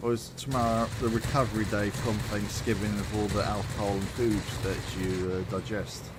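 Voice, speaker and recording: A man speaks with a British accent at a moderate pace, his intonation monotone and flat. The recording has audible room echo and noticeable background noise. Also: fairly low pitch for a man. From Britain. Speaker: gaming streamer. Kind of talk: casual chat.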